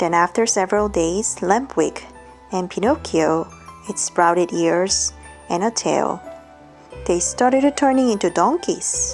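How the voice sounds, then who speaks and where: A woman speaks in a calm tone at a fairly slow pace, with long, frequent pauses. Music plays in the background. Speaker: English teacher. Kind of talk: bedtime storybook reading. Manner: soft, calm.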